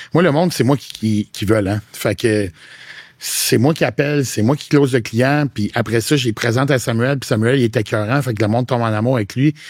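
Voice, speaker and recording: A plain, everyday voice speaks at a moderate pace with ordinary pitch variation. The sound is dry and close, with no echo. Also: man. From Quebec (Quebec City). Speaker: fitness coach and content creator. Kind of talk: podcast interview. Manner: casual, slangy.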